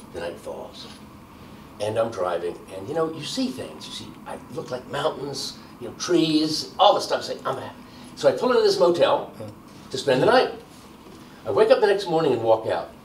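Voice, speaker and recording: A man with an American accent talks at a fairly quick pace with long, frequent pauses and big swings in loudness, over light background noise and audible room echo. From US Northeast. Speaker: criminology professor. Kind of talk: oral history interview. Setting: filmed interview in Baltimore. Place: home room.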